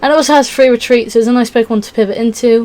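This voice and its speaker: Amid noticeable background noise, a woman speaks with a high pitch and fairly even intonation. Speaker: Pokémon card game YouTuber. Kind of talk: casual tutorial walkthrough. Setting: at home. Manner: fast.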